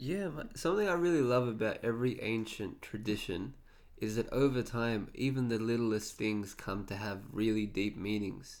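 A man with an Australian accent, medium pitch, ordinary pitch variation and a moderate pace. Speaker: podcast host. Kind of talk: interview.

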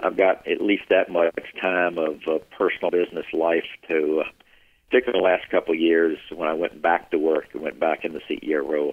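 In a Southern US accent, a man talks at a fairly quick pace. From US South, South Carolina Piedmont. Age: 60s. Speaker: retired business executive. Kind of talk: interview.

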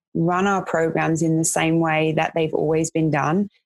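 A London accent at a fairly slow pace, with a dry, close sound and no echo. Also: woman. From West London, England. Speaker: vocational college educator. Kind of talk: casual chat.

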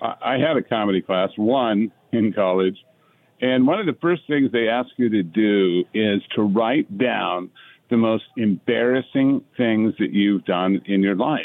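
Using a normal speaking voice, a man talks at a fairly slow pace and a medium pitch, with very even loudness and ordinary pitch variation. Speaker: actor. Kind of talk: casual chat.

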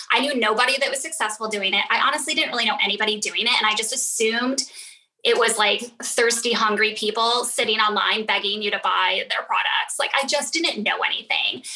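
Over noticeable background noise, a woman talks at a fairly quick pace with a fairly high pitch and very even loudness. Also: ordinary pitch variation. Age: 40s. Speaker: network marketing leader. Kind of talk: casual interview.

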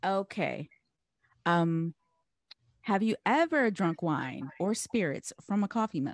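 With very even loudness and lively intonation, a woman at medium pitch speaks at a very slow pace with long, frequent pauses, the sound dry and close with no echo over a quiet background. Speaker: podcast host. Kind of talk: casual chat. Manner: animated.

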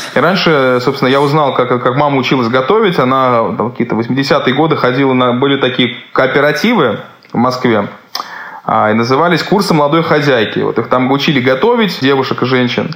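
Noticeable background noise and audible room echo surround a man at medium pitch. He talks at a fairly quick pace with ordinary pitch variation and very even loudness. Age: 30s. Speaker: chef. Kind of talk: interview.

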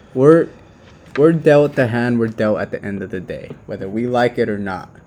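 With noticeable background noise behind him, a man talks at a moderate pace with ordinary pitch variation. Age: 20s. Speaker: podcast co-host. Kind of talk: casual chat.

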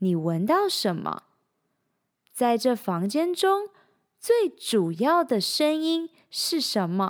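A woman with a high voice and a gentle tone talks very slowly, leaving long, frequent pauses. Her pitch swings very widely, and the recording is very clean with a silent background. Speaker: podcast host and coach. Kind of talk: guided meditation, slow calm instructions. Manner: soft-spoken, slow and soothing with pauses; gentle, inviting, second-person prompting questions.

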